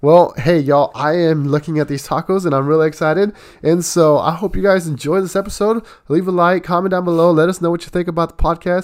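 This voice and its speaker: A man speaks at a very fast pace. His pitch is high and his intonation fairly even. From Mexico. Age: 20s. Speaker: pastor and podcast host. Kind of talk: casual chat.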